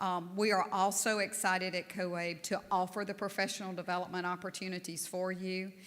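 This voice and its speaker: A woman's medium-pitched voice at a moderate pace, monotone and flat in intonation. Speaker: national association board leader. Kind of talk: conference speech.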